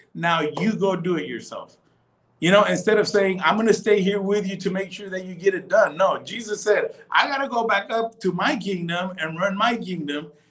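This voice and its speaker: Here a man speaks high with an American accent. His pitch variation is ordinary. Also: moderate pace. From Texas. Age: 40s. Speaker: pastor. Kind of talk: casual chat. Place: home room. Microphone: video call.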